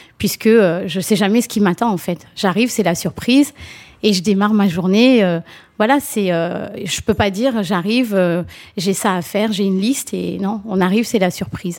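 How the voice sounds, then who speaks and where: A woman with a plain, everyday voice talks at a medium pitch and a moderate pace, using ordinary pitch variation. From France, raised from age 4 (Mauritian family). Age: 40s. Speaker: nursing home housekeeping manager. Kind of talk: interview.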